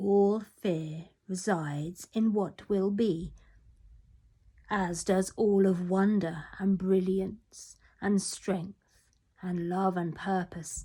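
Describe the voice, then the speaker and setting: A woman uses a raspy put-on character voice at a medium pitch, speaking very slowly in a monotone, flat intonation. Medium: read story.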